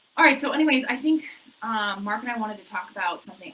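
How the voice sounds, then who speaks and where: A woman at a very fast pace with lively intonation, over noticeable background noise. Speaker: realtor. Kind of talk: casual chat. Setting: office. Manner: animated.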